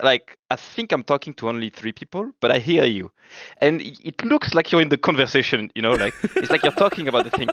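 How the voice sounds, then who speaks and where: A fairly high-pitched man with a French accent talks at a very fast pace with lively intonation, with a dry, close sound and no echo. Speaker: esports pro player. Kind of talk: casual chat. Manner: hesitant, filler-heavy; animated.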